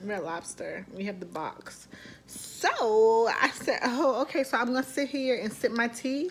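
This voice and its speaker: The delivery is animated, with lively intonation at a fairly slow pace. Light background noise is present. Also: woman, high pitch for a woman. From Baltimore, Maryland. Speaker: army instructor and vlogger; instructor. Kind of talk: casual vlog; classroom instruction.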